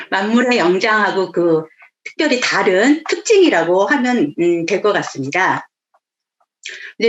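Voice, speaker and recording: Very slowly, a woman speaks at a medium pitch with lively intonation. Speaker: network marketing businesswoman. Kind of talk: motivational talk. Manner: clipped, abrupt speech; commanding tone.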